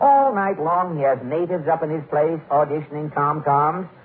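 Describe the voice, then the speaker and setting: A man talks. Noticeable background noise sits behind him. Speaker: radio comedian and show host. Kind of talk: old-time radio comedy monologue and sketch.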